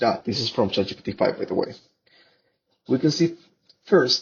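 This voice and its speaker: A man with a Spanish accent at a moderate pace. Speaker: researcher. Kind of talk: conference presentation. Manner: halting.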